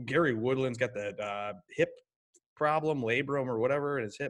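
The background is quiet. Speech comes at a moderate pace. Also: man. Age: 30s. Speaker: fantasy golf podcast host. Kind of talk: casual chat. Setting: garage. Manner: animated.

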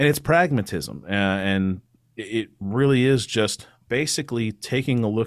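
An unremarkable speaking voice from a medium-pitched man with an American accent, lively in intonation, in a very clean recording with a silent background. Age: 30s. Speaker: attorney and political podcast host. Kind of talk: casual interview.

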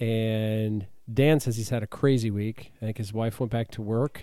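Speaking at a moderate pace with a plain, everyday voice, a man keeps to a medium pitch on a very clean recording with a silent background. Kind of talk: casual radio-DJ patter, a chatty podcast intro. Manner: upbeat, bantering, easygoing.

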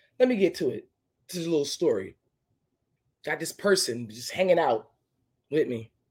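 An animated woman with a fairly low pitch and vocal fry speaks at a moderate pace, with very wide pitch swings, big swings in loudness, and long, frequent pauses. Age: 40s. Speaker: podcast host. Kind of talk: casual monologue.

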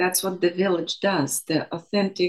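A woman's medium-pitched voice. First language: not English. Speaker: birth and trauma educator. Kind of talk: interview.

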